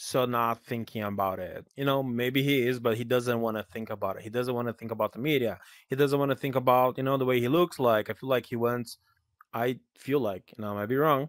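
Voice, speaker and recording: A man with a Portuguese accent talks at a fairly quick pace. The recording is very clean and dry, with a silent background and a close sound with no echo. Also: medium pitch for a man, fairly even intonation. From Brazil. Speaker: podcast host and virtual world creator. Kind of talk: casual chat.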